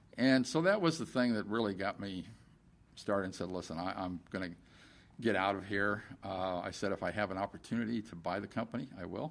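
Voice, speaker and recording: Talking at a fairly quick pace, a man has a fairly low pitch and ordinary pitch variation. It is an unremarkable speaking voice. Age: 60s. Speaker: company CEO. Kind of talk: interview. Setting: company office.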